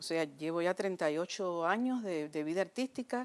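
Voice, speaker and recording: Here the speaker is a woman. Ordinary pitch variation runs through her speech. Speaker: actress. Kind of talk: interview. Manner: halting.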